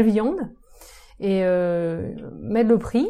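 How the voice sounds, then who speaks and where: A woman's voice sits at a fairly high pitch, dark and mellow in tone, with ordinary pitch variation. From Brittany, France (Saint-Brieuc, Côtes d'Armor). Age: 40s. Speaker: urban agriculture entrepreneur. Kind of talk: casual interview. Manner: hesitant, many fillers.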